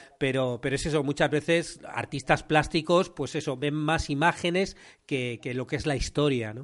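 A man with a Spanish accent, fairly high in pitch, at a moderate pace with fairly even intonation, over a quiet background. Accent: Peninsular Spanish. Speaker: podcast host and screenwriting teacher. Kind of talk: interview conversation.

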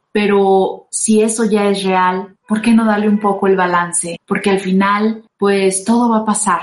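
With a Mexican accent, a woman speaks at a medium pitch and a fairly slow pace, her intonation monotone and flat and her loudness very even. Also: hardly any pauses. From Mexico, San Luis Potosí. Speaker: radio host and singer. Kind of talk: casual talk show with advice.

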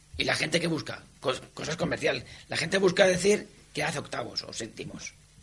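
There is noticeable background noise. A man talks at a high pitch. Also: big swings in loudness. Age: 50s. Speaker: mountaineer. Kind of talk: interview.

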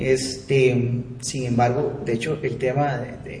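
With audible room echo and noticeable background noise, a man speaks with a Costa Rican accent. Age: 20s. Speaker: audiovisual producer, musician. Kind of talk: casual chat. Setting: studio.

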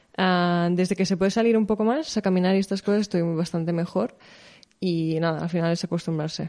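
The voice has a dark, mellow tone, very even loudness and fairly even intonation. It moves at a fairly quick pace against a quiet background. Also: woman, medium pitch for a woman. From Spain, Barcelona area. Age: 20s. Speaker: content creator and entrepreneur. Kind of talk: casual chat.

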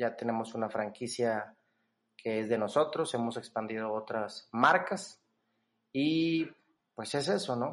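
A man at medium pitch with lively intonation, a very slow pace, long, frequent pauses and a quiet background. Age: 20s. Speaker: entrepreneur and business coach. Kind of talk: casual interview.

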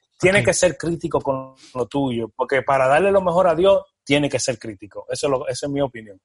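Music plays in the background as the voice moves at a fairly quick pace with ordinary pitch variation and hardly any pauses, in a dry, close sound with no echo. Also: man, fairly high pitch for a man. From Dominican Republic, moved to New York around age 10. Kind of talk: casual interview chat.

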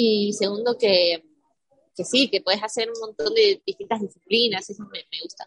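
In an ordinary speaking voice, a woman with fairly high pitch and ordinary pitch variation talks at a moderate pace, her loudness swinging widely in a dry, close sound with no echo. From Argentina, San Martín de los Andes (Patagonia). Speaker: professional mountain biker. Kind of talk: interview.

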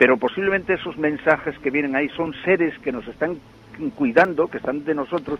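A man talks at a fairly quick pace and a fairly high pitch. His pitch variation is ordinary. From Asturias, Spain. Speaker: parish priest. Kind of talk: interview. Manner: halting, repeats words.

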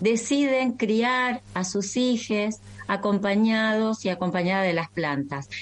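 The speaker is a woman with a fairly high pitch. She talks at a very slow pace. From Argentina, Entre Ríos. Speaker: naturopathic doctor. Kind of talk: interview. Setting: video call.

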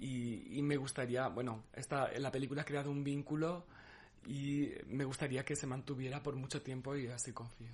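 The voice is somewhat breathy and monotone, with flat intonation at a moderate pace. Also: man, fairly high pitch for a man. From Spain, Cáceres (Extremadura). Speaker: documentary participant. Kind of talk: interview. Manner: halting.

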